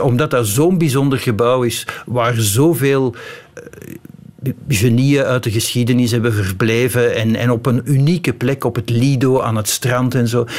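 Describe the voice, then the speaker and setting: Over noticeable background noise, a man with a Flemish accent talks at a fairly slow pace and medium pitch. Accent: Flemish Dutch. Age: 50s. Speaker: author. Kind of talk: radio interview. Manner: hesitant, many fillers.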